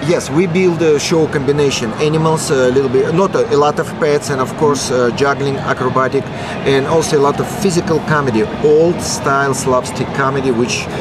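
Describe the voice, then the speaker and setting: Through noticeable background noise, a man with a Russian accent speaks at a fairly high pitch and fairly quick pace, with very even loudness and fairly even intonation. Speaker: circus performer and animal trainer. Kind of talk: radio interview. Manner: halting, broken English.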